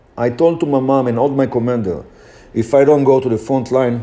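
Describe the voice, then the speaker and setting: Here a man talks at a fairly quick pace with a non-native accent and ordinary pitch variation. His voice is medium in pitch, with a dark, mellow tone. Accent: foreign accent, noticeable. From Israel. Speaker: motivational speaker. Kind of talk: motivational talk.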